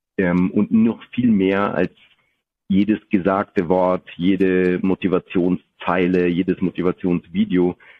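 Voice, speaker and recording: A man speaks very slowly in a very deep, low voice. His intonation is monotone and flat, and his loudness stays very even. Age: 40s. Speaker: business executive. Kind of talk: interview. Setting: video podcast recording.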